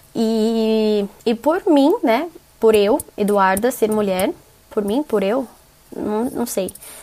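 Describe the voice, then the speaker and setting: Over noticeable background noise, a woman speaks very slowly at a fairly high pitch, with ordinary pitch variation. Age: 20s. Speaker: journalist, podcast co-host. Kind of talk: recorded self-introduction.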